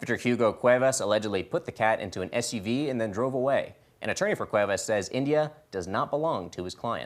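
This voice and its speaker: In an American accent, a man at a medium pitch races along at a very fast pace with lively intonation. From US South, Georgia. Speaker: news anchor. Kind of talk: news reading.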